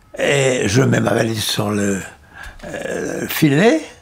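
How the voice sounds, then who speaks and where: Over noticeable background noise, a man talks at a medium pitch with lively intonation. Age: 80s+. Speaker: former French Resistance member. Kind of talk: personal storytelling. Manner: hesitant, halting.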